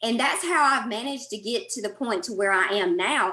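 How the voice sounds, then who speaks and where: The woman's fairly high voice carries lively intonation. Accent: strong Southern US. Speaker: podcaster and mentor. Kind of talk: roundtable discussion.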